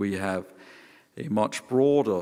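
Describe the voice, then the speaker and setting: Speaking at a very slow pace, a man with a Danish accent uses a fairly low pitch. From Denmark. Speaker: professor. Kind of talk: panel talk. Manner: halting.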